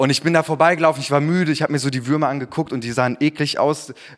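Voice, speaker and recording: Here is a man with a fairly high pitch. His tone is animated and warm. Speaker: preacher. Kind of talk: sermon. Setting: church. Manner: earnest, warm, conversational preaching with personal anecdotes; animated, rhetorical questions and direct address to congregation.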